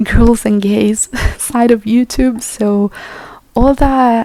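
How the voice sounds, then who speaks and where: Over noticeable background noise, a woman with a non-native accent speaks at a very slow pace. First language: not English. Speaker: YouTuber. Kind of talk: rant. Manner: hesitant, many fillers.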